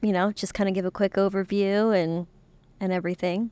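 In a very clean recording with a silent background, a woman speaks at a medium pitch with a dry, close sound and no echo. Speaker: podcast co-host. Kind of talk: casual chat.

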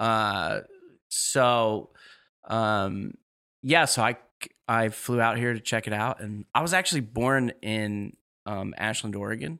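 A man speaks at a very slow pace in a bright, sharp tone, with a medium pitch and ordinary pitch variation. The recording is very clean, with a silent background. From New York. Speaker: rabbi. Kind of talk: interview.

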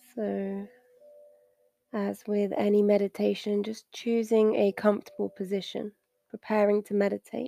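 Music plays in the background as a woman speaks in a soothing, calm tone with long, frequent pauses, the sound dry and close with no echo. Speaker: meditation guide. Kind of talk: guided meditation. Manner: slow, soothing and calm, with long pauses between instructions; gentle, soft-spoken, reassuring.

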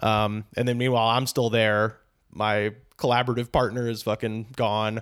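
On a very clean recording with a silent background, a man speaks at a moderate pace and medium pitch, his intonation monotone and flat and his loudness very even. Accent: American. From US South, Auburn, Alabama. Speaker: stand-up comedian and podcast host. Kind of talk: casual interview chat.

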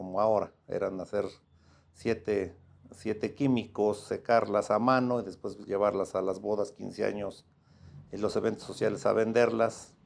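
A man talks fairly slowly against a quiet background. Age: 50s. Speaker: lawyer, sports club owner and law professor. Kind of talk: casual interview chat.

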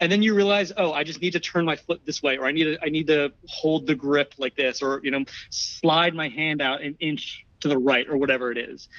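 A man with an American accent and an unremarkable speaking voice, fairly high in pitch, at a fairly quick pace with hardly any pauses and ordinary pitch variation. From New Jersey, US. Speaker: digital archivist and video producer. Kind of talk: casual interview.

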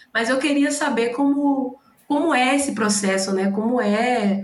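A woman speaks with a Bahian accent. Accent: Bahian Brazilian Portuguese. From Bahia, Brazil. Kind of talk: casual chat.

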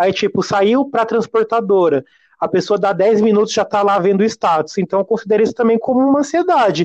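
A man with a high pitch, ordinary pitch variation, a fairly quick pace and very even loudness, in a dry, close sound with no echo. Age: 20s. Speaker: podcast guest. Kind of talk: casual chat.

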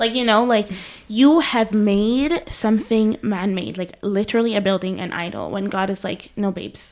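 A woman talks with an unremarkable speaking voice at medium pitch. Her pace is moderate. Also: ordinary pitch variation. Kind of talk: casual chat with Bible teaching.

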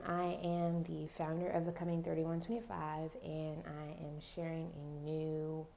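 Background noise comes through noticeably. Over it, a woman talks. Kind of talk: podcast introduction. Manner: casual with filler words.

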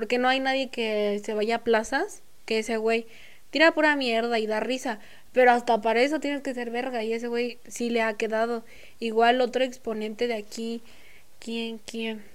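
A woman's fairly high voice in a central Mexican accent, at a moderate pace with fairly even intonation. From Mexico, State of Mexico (Nicolás Romero). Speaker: singer and rapper. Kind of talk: casual chat. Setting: studio.

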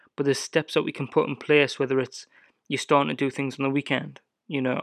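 Fairly quick, fairly high-pitched male speech with an English accent, a quiet background and a dry, close sound with no echo. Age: 20s. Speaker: lawn care business owner. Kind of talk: solo podcast monologue. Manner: casual, animated.

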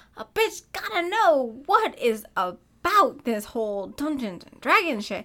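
Raised and projected, a woman's high-pitched voice moves at a fairly slow pace with hardly any pauses, very wide pitch swings, big swings in loudness and an animated tone. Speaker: podcast co-host. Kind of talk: casual chat. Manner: animated, laughs a lot.

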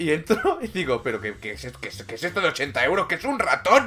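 Against noticeable background noise, a man speaks at a moderate pace in an animated tone. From Catalonia. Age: 30s. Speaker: gaming streamer. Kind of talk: casual chat.

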